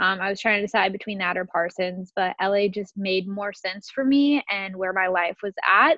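A woman with a plain, everyday voice talks at a moderate pace and medium pitch, with ordinary pitch variation and hardly any pauses. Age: 20s. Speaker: stylist and creative director. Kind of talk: interview.

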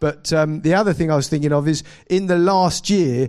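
With a southern English accent, a man talks at a fairly high pitch with ordinary pitch variation. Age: 40s. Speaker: pastor. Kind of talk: sermon.

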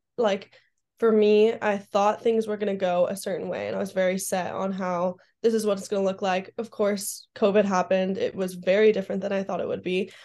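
A woman's dark, mellow voice with an American accent, flat monotone intonation and a fairly quick pace, over a quiet background. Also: medium pitch for a woman. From Southern California. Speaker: college athlete. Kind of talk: interview. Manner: hesitant, many fillers.

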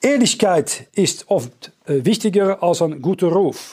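A man's high-pitched voice with lively intonation in a Dutch accent. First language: Dutch (speaking German). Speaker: preacher. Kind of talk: sermon. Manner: halting.

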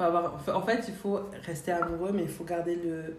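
There is audible room echo and noticeable background noise. Through it, a woman speaks with a fairly low voice and fairly even intonation. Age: 20s. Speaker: student and shop saleswoman. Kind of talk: casual chat. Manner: halting.

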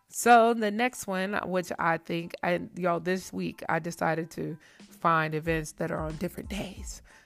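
A woman at a fairly low pitch with ordinary pitch variation, speaking at a fairly slow pace over music in the background. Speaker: podcast host. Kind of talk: casual chat. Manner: animated.

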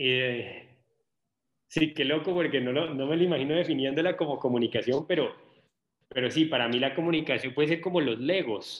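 A plain, everyday voice moves at a moderate pace. Its pitch varies in an ordinary way. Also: man, fairly high pitch for a man. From Colombia. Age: 30s. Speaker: social media content creator. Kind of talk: casual interview conversation.

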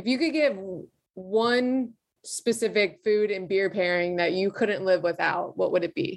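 A woman with a plain, everyday voice, medium pitch, ordinary pitch variation and a fairly slow pace. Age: 20s. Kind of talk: interview. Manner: casual with many fillers.

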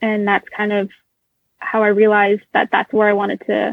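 At a fairly quick pace, a woman speaks with a fairly high pitch. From Florida, US (early childhood in Boston). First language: Russian. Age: 20s. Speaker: financial services professional. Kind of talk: interview.

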